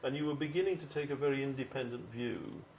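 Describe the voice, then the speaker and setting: Someone with an English accent speaks at a very fast pace, with audible room echo and noticeable background noise. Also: man. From England. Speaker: interviewer. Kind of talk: interview.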